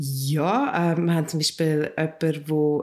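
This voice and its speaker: Here a woman speaks in a normal speaking voice. Her pitch is fairly low and her intonation fairly even. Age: 40s. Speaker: co-founder of a community funding project. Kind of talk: interview. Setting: in the organisation's office in Zurich.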